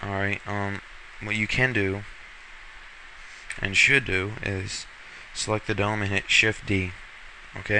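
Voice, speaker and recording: A man with a fairly low voice speaks at a fairly slow pace in a flat monotone, leaving long, frequent pauses over noticeable background noise. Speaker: software tutorial maker. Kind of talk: tutorial. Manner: casual, hesitant with fillers.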